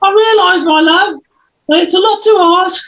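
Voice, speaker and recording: A woman's put-on character voice, squeaky and extremely high-pitched, at a moderate pace with very even loudness and fairly even intonation. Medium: stage play. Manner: blunt, indignant.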